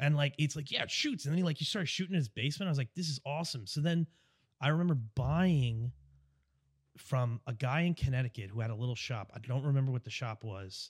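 A man talks at a very fast pace with an American accent and a fairly high pitch. His pitch varies in an ordinary way, and the sound is dry and close with no echo. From US Northeast (Long Island, New York). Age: 30s. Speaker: airsoft player. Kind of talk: casual chat. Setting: studio. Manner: loud; animated.

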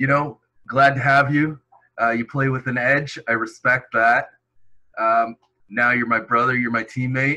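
A man with a Canadian accent, medium in pitch and monotone, at a fairly slow pace with long, frequent pauses. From southern Ontario, Canada. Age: 30s. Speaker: simulation football league player. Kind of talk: casual chat.

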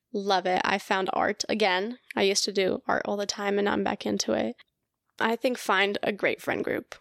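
A woman speaks at a moderate pace with very even loudness, and the sound is dry and close with no echo. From Colorado, US. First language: Russian. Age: 20s. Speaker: graduate student in speech pathology. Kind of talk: casual interview chat.

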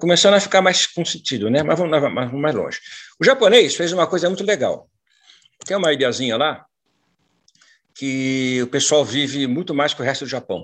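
Over a quiet background, a man talks at a fairly quick pace with lively intonation and a fairly high pitch, breaking often into long pauses. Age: 60s. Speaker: mentor and former business executive. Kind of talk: talk to online group.

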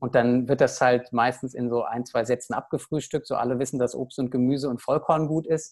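A man speaks at medium pitch in a flat monotone with hardly any pauses. The recording is very clean, with a silent background. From Germany, Aschaffenburg area (Lower Franconia, Hesse border). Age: 30s. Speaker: paediatrician and medical director of a nutrition association. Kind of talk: interview. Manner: hesitant, many fillers.

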